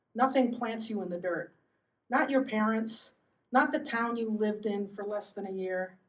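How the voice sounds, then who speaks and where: At a moderate pace, a woman with a normal speaking voice talks at a fairly high pitch with ordinary pitch variation. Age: 60s. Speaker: poet. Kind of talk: poetry reading.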